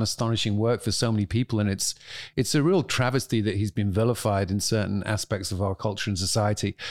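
On a very clean recording with a silent background, a man with a British accent talks at a fairly quick pace and a fairly low pitch, with very even loudness. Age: 50s. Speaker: author and family law reform advocate. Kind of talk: interview conversation.

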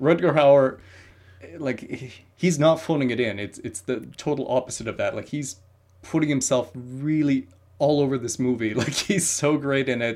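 Using an unremarkable speaking voice, a man talks at a moderate pace in a fairly high pitch with ordinary pitch variation. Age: 30s. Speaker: film critic. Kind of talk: casual chat.

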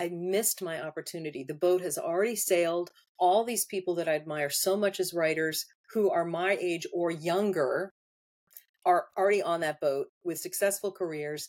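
A woman speaks in a plain, everyday voice with a fairly low pitch, fairly even intonation, and a moderate pace. The recording is very clean, with a silent background. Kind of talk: casual interview chat.

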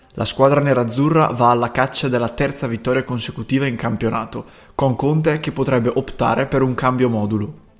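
A man with an Italian accent, medium pitch, fairly even intonation, a very fast pace and hardly any pauses. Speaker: sports news presenter. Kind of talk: brisk matchday news bulletin, scripted-sounding. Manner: fast, businesslike, rattling off names and formations.

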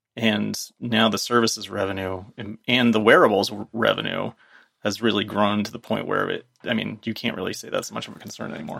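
Fairly quick and fairly low in pitch, this man's voice has a bright, sharp tone with vocal fry. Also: ordinary pitch variation. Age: 50s. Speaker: tech commentator. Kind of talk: casual chat.

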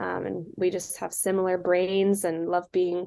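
A woman talks with a West Coast accent at a fairly low pitch. Her pace is fairly slow and her intonation monotone and flat. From California, Silicon Valley. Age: 20s. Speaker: small business co-owner. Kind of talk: interview.

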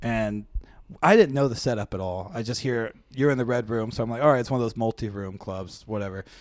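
A man with an American accent talks at a fairly quick pace in an unremarkable speaking voice, medium in pitch with ordinary pitch variation. The recording is very clean, with a silent background. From Seattle area, US Pacific Northwest. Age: 20s. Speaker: stand-up comedian. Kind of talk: casual chat.

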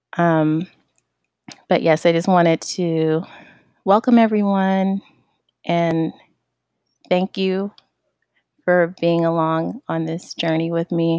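Recorded with a dry, close sound and no echo, a woman speaks in a fairly low pitch with fairly even intonation. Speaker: founder of a tech community. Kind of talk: casual solo monologue. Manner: hesitant, many fillers.

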